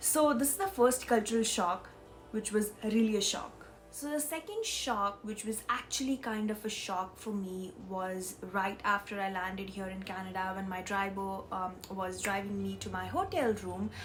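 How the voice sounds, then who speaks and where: A woman talks with ordinary pitch variation. There is noticeable background noise. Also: medium pitch for a woman, moderate pace. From India. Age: 20s. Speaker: vlogger. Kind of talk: casual vlog. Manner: hesitant, with fillers.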